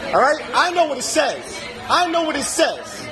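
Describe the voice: Over clear background noise and clear crowd noise in the background, a man speaks at a moderate pace in an extremely high pitch with very wide pitch swings.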